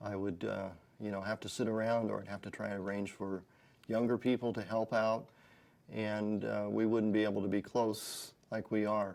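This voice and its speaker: Flat, monotone delivery at a moderate pace on a very clean recording with a silent background. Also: man, fairly low pitch for a man. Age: 60s. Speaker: gym client giving a testimonial. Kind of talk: testimony. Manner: halting.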